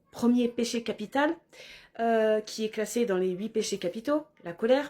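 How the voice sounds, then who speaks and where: On a very clean recording with a silent background, a woman speaks fairly slowly at a fairly high pitch, her dark, mellow tone showing ordinary pitch variation. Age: 40s. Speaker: spiritual vlogger. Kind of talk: personal vlog monologue. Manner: halting, many hesitations.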